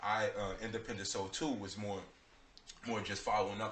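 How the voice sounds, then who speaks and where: Audible room echo follows a man speaking at a fairly low pitch. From New York City, Bronx. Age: 20s. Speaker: rapper. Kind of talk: radio interview.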